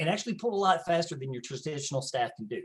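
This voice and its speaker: A man with a Southern US accent speaks in a high voice with lively intonation. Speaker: tech company presenter. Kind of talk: sales pitch.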